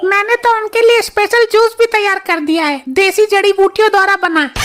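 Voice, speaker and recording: A woman puts on a character voice at an extremely high pitch. Her pace is moderate, with ordinary pitch variation. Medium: comedy sketch.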